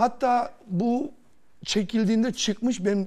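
Here a man talks. He has a dark, mellow tone. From Germany, Turkish emigrant from Kırşehir; Germany. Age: 40s. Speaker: lottery winner; talk show guest. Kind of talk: TV interview, personal story. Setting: TV studio. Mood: earnest, emotional. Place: studio. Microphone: lapel.

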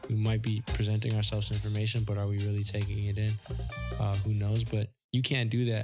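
Music plays in the background as a soft-spoken man talks at a very fast pace. His fairly low voice stays monotone and flat. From Toronto, Canada. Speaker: photographer. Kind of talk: interview answer. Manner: soft-spoken, shy.

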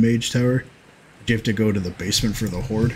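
A man with a fairly low pitch and a somewhat breathy voice talks over light background noise. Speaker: streamer and gaming host; game streamer. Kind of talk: casual chat during a group gaming stream. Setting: livestream with voice chat. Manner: rambling, casual, profane. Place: home room.

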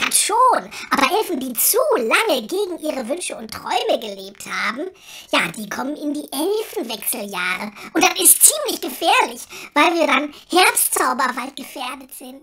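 A man puts on a character voice. His pitch is extremely high and his pace moderate. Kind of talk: comedy audio drama.

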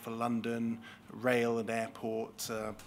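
This man speaks at a fairly slow pace. Light background noise can be heard. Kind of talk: formal questioning of a witness. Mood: calm, formal, measured. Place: hall. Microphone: podium.

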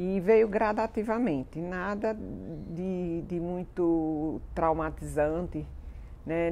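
A woman's dark, mellow voice with ordinary pitch variation and light background noise. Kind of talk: interview answer. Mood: calm, reflective. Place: garden. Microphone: lapel.

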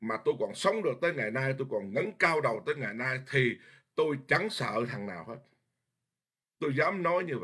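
Pitch leaps up and down dramatically as this man speaks. Nothing else can be heard behind him. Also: moderate pace. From Vietnam. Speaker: Buddhist monk teacher. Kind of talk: dharma lecture. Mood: earnest, forceful at times. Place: home room. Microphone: webcam.

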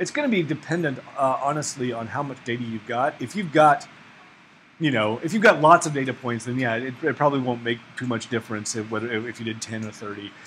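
A man with an American accent speaks with ordinary pitch variation over light background noise. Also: fairly quick pace. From Oklahoma. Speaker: ecology researcher teaching a workshop; workshop instructor. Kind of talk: workshop lecture. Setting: classroom with audience. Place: classroom.

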